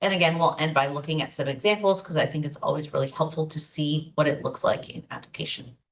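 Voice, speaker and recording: This woman's voice sits fairly low in pitch. She speaks at a fairly quick pace. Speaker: marketing workshop presenter. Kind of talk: online workshop presentation. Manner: fast.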